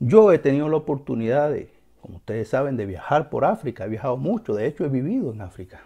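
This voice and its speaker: Against a quiet background, a man with a fairly high pitch and a dark, mellow tone talks at a very fast pace, with very wide pitch swings and big swings in loudness. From Cuba. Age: 40s. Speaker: religious teacher and video host; religious teacher, video host. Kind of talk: educational monologue. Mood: earnest, emphatic. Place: home room. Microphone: lapel.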